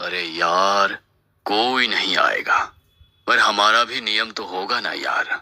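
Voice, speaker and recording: A man's raspy, put-on character voice at medium pitch and a fairly slow pace. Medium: cartoon. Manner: warm, affectionate.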